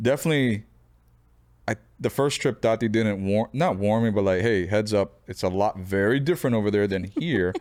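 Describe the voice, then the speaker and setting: A normal speaking voice with an American accent, ordinary pitch variation, a fairly quick pace and very even loudness, on a very clean recording with a silent background. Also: man, fairly low pitch for a man. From Florida, US. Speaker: podcast guest, host's husband. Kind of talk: casual chat.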